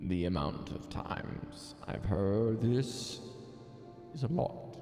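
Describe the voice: Over faint music in the background, a man uses a put-on character voice with a dark, mellow tone, vocal fry, a fairly low pitch, lively intonation and a slow pace.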